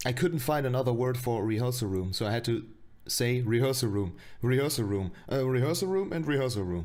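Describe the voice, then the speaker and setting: There is audible room echo as a man talks at a fairly quick pace. He speaks with a non-native accent. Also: medium pitch for a man, lively intonation. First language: not English. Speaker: streamer reacting to own web series. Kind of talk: casual stream commentary. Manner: halting.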